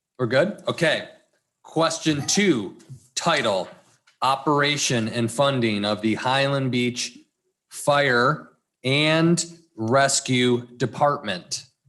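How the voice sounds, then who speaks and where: Speaking very slowly with long, frequent pauses, a man with an American accent uses a fairly high pitch and ordinary pitch variation. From Michigan. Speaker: town manager. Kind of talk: public meeting, reading ballot language and explaining items. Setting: town commission meeting.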